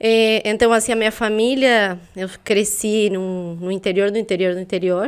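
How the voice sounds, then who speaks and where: On a very clean recording with a silent background, a woman with a Uruguayan accent speaks at a moderate pace, her medium pitch carrying fairly even intonation. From Uruguay, south (Soriano, near Colonia). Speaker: intellectual property specialist. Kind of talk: interview.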